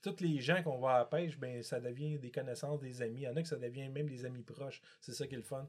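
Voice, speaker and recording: A man speaks at a very fast pace. His voice is somewhat breathy, with ordinary pitch variation. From Quebec, Montreal. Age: 50s. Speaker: multi-species angler. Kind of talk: casual chat.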